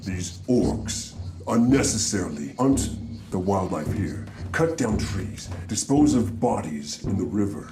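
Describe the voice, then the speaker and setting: Clear background noise sits behind a man doing a put-on character voice. He sounds booming and moves at a fairly slow pace. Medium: actual play. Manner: commanding, slow and grave.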